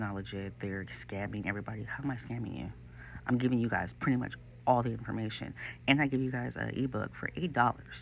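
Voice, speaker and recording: A fairly low-pitched male voice with vocal fry, at a fairly quick pace. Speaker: social media creator. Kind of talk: tutorial. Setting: at work. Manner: fast; casual, filler-heavy.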